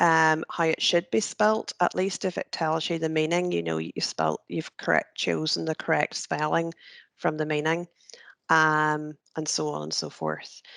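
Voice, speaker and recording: The background is quiet, and the sound is dry and close with no echo. The speaker has a Northern Irish accent. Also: woman, fairly slow pace. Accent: Northern Ireland (North Antrim). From Northern Ireland, North Antrim. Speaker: careers trainer. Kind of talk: tutorial. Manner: casual, hesitant with many fillers.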